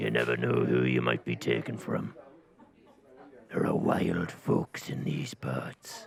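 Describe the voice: A gruff, put-on character voice with very deep, low pitch at a fairly slow pace.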